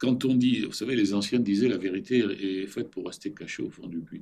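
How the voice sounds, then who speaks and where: Here is a man with a dark, mellow tone. His pitch sits fairly low. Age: 70s. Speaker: former central banker and business school teacher. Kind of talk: interview. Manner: animated.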